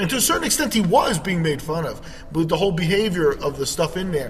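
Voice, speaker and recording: A high-pitched man talks very fast with lively intonation in a room with audible echo and noticeable background noise. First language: Spanish. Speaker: podcast host. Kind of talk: casual chat. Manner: halting, many fillers.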